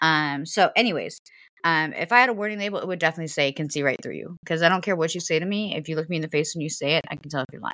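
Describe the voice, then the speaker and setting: Speaking very fast with a Southern US accent, a woman uses a fairly low pitch and a bright, sharp tone, with ordinary pitch variation and big swings in loudness. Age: 30s. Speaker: podcast host. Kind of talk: casual chat.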